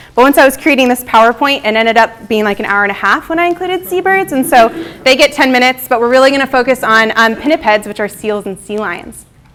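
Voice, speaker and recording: With noticeable noise behind her, a woman rattles along at a very fast pace in a high voice, lively in intonation and with hardly any pauses. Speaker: wildlife biologist. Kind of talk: lecture. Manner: animated.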